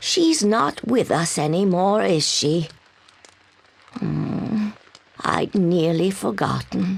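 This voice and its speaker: In a raspy put-on character voice of medium pitch, a woman talks at a very slow pace with long, frequent pauses and very even loudness. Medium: video game. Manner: gentle, frail.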